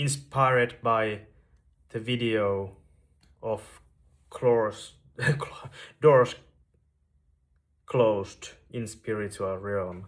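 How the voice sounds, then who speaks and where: A man's medium-pitched voice at a very slow pace, with fairly even intonation and long, frequent pauses. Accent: Finnish. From Finland, Veteli, western Finland. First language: Finnish. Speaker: YouTuber sharing spiritual story. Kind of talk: personal testimony monologue. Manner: slow, with long pauses; halting, repeats words.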